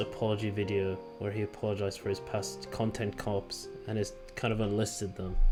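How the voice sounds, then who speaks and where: With music in the background, the man talks at a moderate pace. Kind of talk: casual talk to camera.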